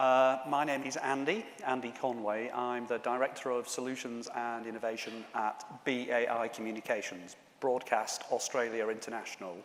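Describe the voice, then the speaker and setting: Audible room echo hangs around this man's voice. He keeps a moderate pace and fairly even intonation. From Yorkshire, northern England. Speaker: conference speaker, telecom executive. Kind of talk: conference presentation. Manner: hesitant, many fillers.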